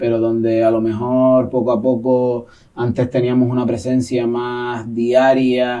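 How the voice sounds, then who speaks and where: Speaking with a Canary Islands accent, a man at a medium pitch talks very slowly in a dark, mellow tone with monotone, flat intonation. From Gran Canaria, Canary Islands. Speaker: poet and secondary school teacher. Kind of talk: interview answer.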